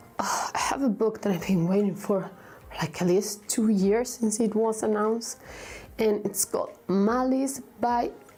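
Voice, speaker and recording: With a Spanish accent, a woman speaks fairly slowly at a fairly high pitch and very even loudness. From Vigo, Spain. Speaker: book reviewer. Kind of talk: casual talk to camera.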